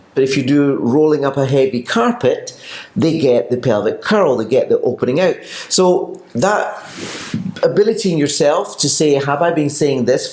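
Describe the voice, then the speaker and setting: Someone with a Scottish accent speaks at a moderate pace and very even loudness over noticeable background noise. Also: man. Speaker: pilates teacher. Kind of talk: casual chat.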